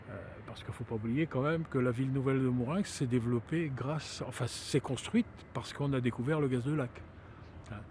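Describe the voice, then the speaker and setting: The speaker is a man with a fairly high voice. His pitch moves up and down a normal amount. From Brittany, France (Saint-Malo). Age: 60s. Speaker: local resident. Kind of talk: interview testimony. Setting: outdoors at a viewpoint. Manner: halting, many hesitations.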